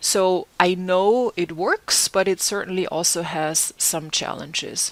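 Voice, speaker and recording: A very slow woman's voice at medium pitch with fairly even intonation, dry and close with no echo, over noticeable background noise. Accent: German. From Germany. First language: German. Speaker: terminology consultant and lecturer. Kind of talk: conference presentation.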